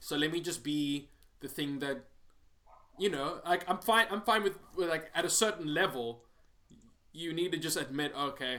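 A man speaks in a fairly high voice with a bright, sharp tone. His pace is moderate and his pitch varies in an ordinary way. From South Africa. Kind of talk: casual chat. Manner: casual, joking.

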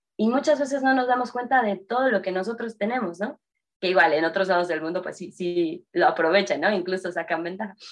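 A fairly high-pitched woman at a very fast pace, with lively intonation. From Mexico City. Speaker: entrepreneur, game designer. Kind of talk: casual interview chat.

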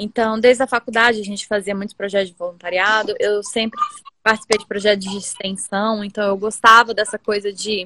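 Fairly high female voice at a fairly quick pace, dry and close with no echo. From Brasília, Brazil. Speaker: environmental consultant and community creator. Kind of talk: casual interview on live stream. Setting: home office, live video.

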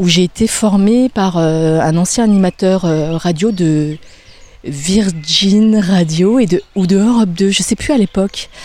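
A woman speaks in a dark, mellow tone at a very even loudness. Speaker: radio presenter. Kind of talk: interview. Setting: outdoors, walking in a park.

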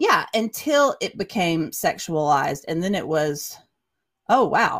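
Speaking at a very slow pace with a Southern US accent, a woman uses a medium pitch and very wide pitch swings. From US South, Chattanooga, Tennessee. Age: 40s. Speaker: ministry worker. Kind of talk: testimony. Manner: halting.

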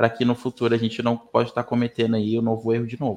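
This man's pitch is medium. He talks at a very fast pace. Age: 20s. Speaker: HR professional. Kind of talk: interview.

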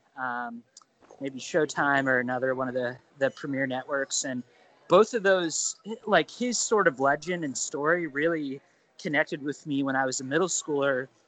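Speaking in a Midwestern American accent, a man uses a fairly high pitch. His pace is moderate. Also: ordinary pitch variation. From Ohio, US Midwest. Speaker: political journalist. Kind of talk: casual interview.

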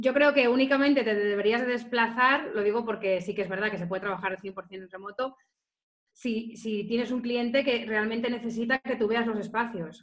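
A woman at a fairly high pitch, a normal speaking voice, moderate pace and fairly even intonation. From Spain, Salamanca. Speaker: tourism marketing specialist. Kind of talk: interview.

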